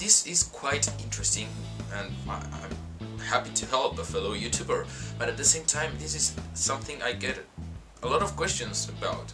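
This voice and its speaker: A man speaks at a moderate pace while music plays clearly in the background. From Argentina. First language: Spanish. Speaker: vlogger. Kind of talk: casual talk to camera. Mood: earnest, reflective. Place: home room. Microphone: webcam.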